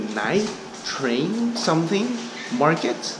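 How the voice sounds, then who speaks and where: A man speaks very slowly while noticeable background noise carries on behind him. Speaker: travel vlogger. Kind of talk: casual vlog chat. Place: station. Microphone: phone near.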